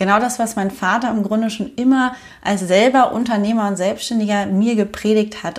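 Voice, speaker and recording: Using an ordinary speaking voice, a woman of medium pitch speaks at a moderate pace with fairly even intonation. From Germany. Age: 30s. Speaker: podcast host and online business coach. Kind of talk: personal storytelling monologue.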